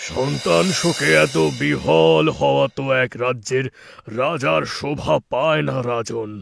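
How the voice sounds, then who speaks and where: A man puts on a cartoonish character voice at a medium pitch, swinging very widely in pitch at a fairly slow pace. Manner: solemn, commanding.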